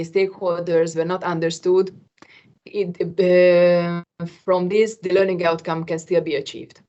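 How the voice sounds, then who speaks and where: A woman speaks with a non-native accent at a moderate pace. Her voice sits at medium pitch. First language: not English. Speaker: qualification assessor. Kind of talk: work meeting discussion. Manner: hesitant.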